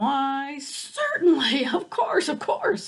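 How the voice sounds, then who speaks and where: With a put-on character voice, a woman speaks at a high pitch. She goes at a very slow pace. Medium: read story. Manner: mild, hesitant.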